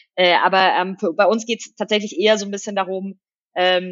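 With monotone, flat intonation, a woman of medium pitch speaks at a fairly quick pace. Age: 30s. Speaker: fintech CEO. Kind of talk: interview. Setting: studio.

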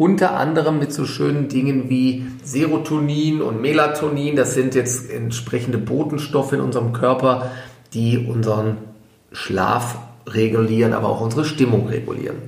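A man talks at a moderate pace and medium pitch with fairly even intonation. Noticeable background noise and audible room echo fill the recording. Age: 40s. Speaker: physician and podcast host. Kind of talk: casual educational chat.

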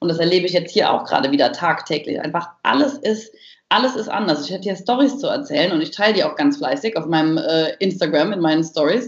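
Very fast pace and lively intonation. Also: woman. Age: 30s. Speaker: business coach and speaker. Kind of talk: interview. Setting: video call.

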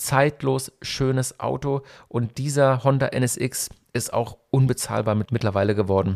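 In a very clean recording with a silent background, a man with a normal speaking voice speaks fairly slowly at medium pitch, his intonation lively. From Germany, Hockenheim (Baden). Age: 40s. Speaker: radio host and event organizer. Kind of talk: solo podcast monologue. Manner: casual, nostalgic storytelling.

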